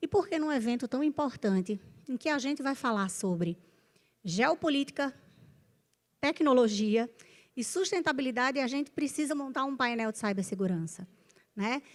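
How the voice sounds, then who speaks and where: With a northeastern Brazilian accent, a woman speaks at a moderate pace in a high pitch with very wide pitch swings. Long, frequent pauses break up her speech on a very clean recording with a silent background. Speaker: panel moderator, business executive. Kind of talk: panel discussion moderation. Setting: stage with audience.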